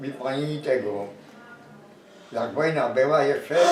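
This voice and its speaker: A man with a fairly high voice speaks at a very slow pace, with audible room echo and noticeable background noise. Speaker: war witness. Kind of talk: interview testimony. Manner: halting.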